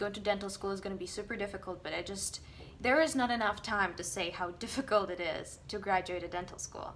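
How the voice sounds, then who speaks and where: In a Russian accent, a woman talks at a very fast pace and medium pitch, with ordinary pitch variation and audible room echo. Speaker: dentist. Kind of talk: casual vlog monologue. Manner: halting.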